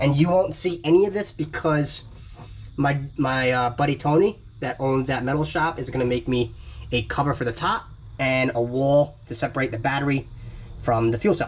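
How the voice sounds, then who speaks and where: A man with an ordinary speaking voice talks at a moderate pace in a fairly high pitch, with ordinary pitch variation. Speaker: amateur racer and vlogger. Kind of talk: casual vlog while working on car.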